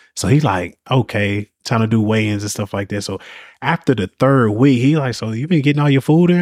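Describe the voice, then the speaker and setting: A man's plain, everyday voice at medium pitch and a fairly quick pace, with lively intonation, a dry, close sound with no echo, and a very clean recording with a silent background. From upstate New York (Syracuse). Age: 30s. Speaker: personal trainer. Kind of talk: casual interview chat.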